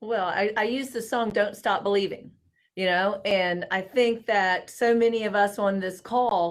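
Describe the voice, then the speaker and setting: At a moderate pace, a woman with a Southern US accent speaks at a medium pitch with fairly even intonation. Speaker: housing industry professional. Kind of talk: live panel discussion. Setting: video call livestream. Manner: rising inflection at sentence ends.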